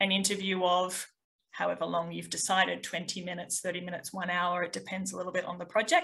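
A woman speaks in a bright, sharp tone.

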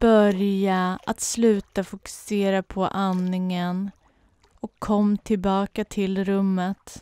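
A woman's very slow, monotone speech with flat intonation, medium in pitch, in a gentle, calm, dark, mellow tone, with a dry, close sound with no echo in a very clean recording with a silent background. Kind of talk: guided meditation. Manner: slow, calm and soothing, with long pauses; soft-spoken and gentle.

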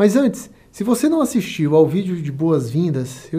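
A man talks at a moderate pace with a dark, mellow tone. The background is quiet. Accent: Brazilian. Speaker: business consultant and online course instructor. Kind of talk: motivational pep talk, sales-style pitch. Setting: studio, video recording. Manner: upbeat, persuasive, energetic; direct, addresses viewer.

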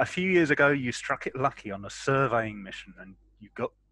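With lively intonation, a man talks in a dry sound with no echo. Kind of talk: narration reading a character background. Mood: playful narration. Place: home room. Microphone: headset.

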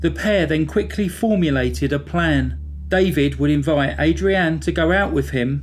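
Music plays in the background as a man speaks. He keeps a moderate pace in a British accent. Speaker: true crime narrator. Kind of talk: scripted true-crime narration, measured and serious. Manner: even, measured, sombre storytelling pace; formal, clear, factual delivery.

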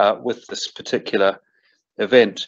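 At a moderate pace, a man talks with a New Zealand accent. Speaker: arbitration lawyer. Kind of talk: welcome address.

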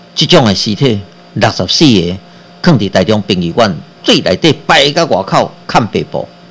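At a moderate pace, a man with a fairly low pitch speaks with very wide pitch swings. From Taiwan. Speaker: radio host and physician; radio host. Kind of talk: political commentary monologue. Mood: critical, animated. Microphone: webcam.

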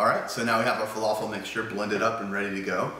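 Monotone, flat delivery from a man at fairly low pitch, with light background noise and audible room echo. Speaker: home cooking show host. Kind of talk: tutorial. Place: kitchen. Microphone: camera far.

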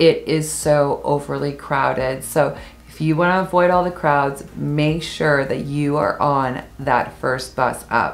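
Faint music plays behind a woman whose very deep, low voice moves at a very slow pace with fairly even intonation. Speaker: travel vlogger. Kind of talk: travel tips talk to camera. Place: home room.

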